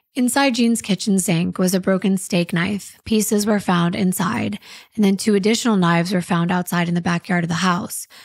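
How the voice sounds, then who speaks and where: In a dry sound with no echo and a quiet background, a woman of medium pitch speaks somewhat breathily, with very even loudness and ordinary pitch variation. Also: moderate pace. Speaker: true crime podcast host. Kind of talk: true-crime narration, read-aloud case story. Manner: steady, storytelling, measured. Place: studio. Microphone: studio mic.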